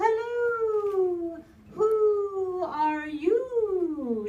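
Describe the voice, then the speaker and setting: Squeaky and extremely high-pitched, a woman's put-on character voice fills the clip. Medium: read story. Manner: warm, welcoming.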